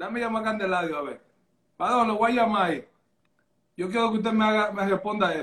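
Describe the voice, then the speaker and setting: Speaking at a very fast pace yet with long, frequent pauses, a man uses a high pitch and ordinary pitch variation. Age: 30s. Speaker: live stream host taking calls. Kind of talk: casual chat.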